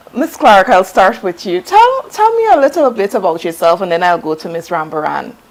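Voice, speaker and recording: A woman speaks at a medium pitch with lively intonation and hardly any pauses. Noticeable background noise runs under her voice. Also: fairly quick pace. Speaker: TV talk show host. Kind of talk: interview. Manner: formal.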